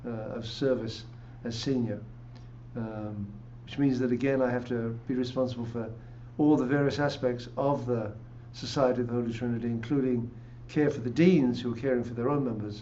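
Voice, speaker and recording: A man with an English accent speaks at a medium pitch in a monotone, flat delivery, leaving long, frequent pauses amid audible room echo. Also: fairly quick pace. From England. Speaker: pastor. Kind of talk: interview.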